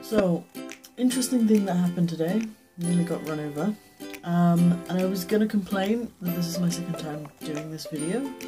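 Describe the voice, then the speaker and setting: A woman's upbeat voice at a moderate pace, fairly low in pitch, with ordinary pitch variation and clear music in the background. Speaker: book vlogger. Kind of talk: casual talk to camera. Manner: chatty, upbeat. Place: home room. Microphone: webcam.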